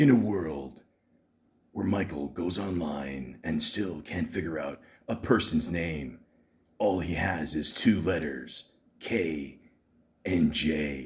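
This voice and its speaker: A man does a put-on character voice with very deep, low pitch and a dramatic tone. He speaks at a fairly slow pace with ordinary pitch variation and long, frequent pauses. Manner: dramatic, epic.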